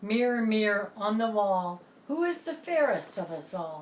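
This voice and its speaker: A woman speaks in a put-on character voice, pitched fairly high. Her pitch swings very widely at a moderate pace. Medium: read story.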